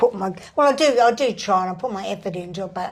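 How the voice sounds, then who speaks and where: This woman talks at a fairly quick clip with an Australian accent. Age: 70s. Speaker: psychic medium and spirit artist. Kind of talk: interview storytelling.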